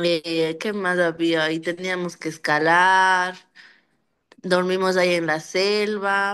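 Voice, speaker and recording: A woman talks at a very slow pace and medium pitch. Her intonation is fairly even, and the background is quiet. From Ecuador. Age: 20s. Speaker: migrant. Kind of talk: testimony. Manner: halting.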